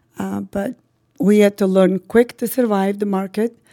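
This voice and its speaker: Recorded dry and close with no echo on a very clean recording with a silent background, a woman with an Albanian accent speaks at medium pitch and a moderate pace, her tone dark and mellow and her intonation fairly even. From North Macedonia (ethnic Albanian). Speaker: real estate broker and office owner. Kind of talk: podcast interview.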